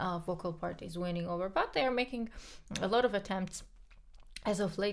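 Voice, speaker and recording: The speaker has a Georgian accent and vocal fry. The pace is moderate, with ordinary pitch variation. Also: woman. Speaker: podcast co-host, pianist. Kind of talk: casual chat.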